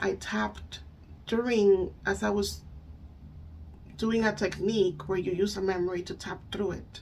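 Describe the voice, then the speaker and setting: At a moderate pace, a woman speaks with a Spanish accent. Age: 30s. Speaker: spiritual coach and EFT tapping practitioner. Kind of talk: casual talk to camera. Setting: home. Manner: halting.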